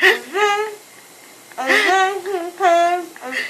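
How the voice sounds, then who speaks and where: A woman at an extremely high pitch, speaking at a very slow pace, with light background noise. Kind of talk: groggy rambling talk. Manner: groggy, slurred post-anesthesia speech. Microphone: phone near.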